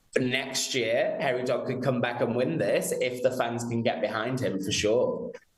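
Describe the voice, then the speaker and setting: Noticeable background noise accompanies a man with a British accent who speaks at a moderate pace with hardly any pauses. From London, England. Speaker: PR professional at a betting company. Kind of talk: live TV interview.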